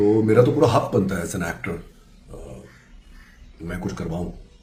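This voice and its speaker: A man's fairly low voice with ordinary pitch variation, amid noticeable background noise and audible room echo. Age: 40s. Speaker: TV actor. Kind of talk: casual monologue. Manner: hesitant, with fillers.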